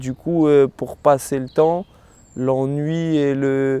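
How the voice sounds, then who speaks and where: The voice belongs to a man and has a dark, mellow tone. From France, Rennes (Brittany). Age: 20s. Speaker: professional kickboxer. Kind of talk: testimony. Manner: hesitant, frequent fillers.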